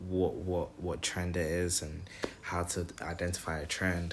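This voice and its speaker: A man with a very deep, low pitch talks at a fairly slow pace. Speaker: trading vlogger. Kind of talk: screen-recorded trading tutorial. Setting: home, screen recording. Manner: stuttering, repeats words; casual, slangy.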